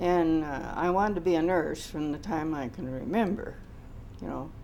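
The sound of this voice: A woman speaks low at a moderate pace. Her pitch varies in an ordinary way.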